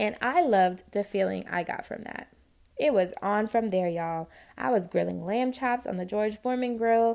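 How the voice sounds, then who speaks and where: A woman's fairly high voice in a New York accent, at a moderate pace with ordinary pitch variation, in a very clean recording with a silent background. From New York City (Spanish Harlem). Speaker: podcast host, home cook. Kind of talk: personal storytelling monologue. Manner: casual, conversational.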